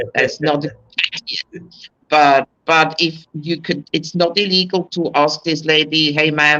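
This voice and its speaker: With a non-native accent, the speaker talks at a fairly slow pace. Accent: foreign. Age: 60s. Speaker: expat. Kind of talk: casual chat.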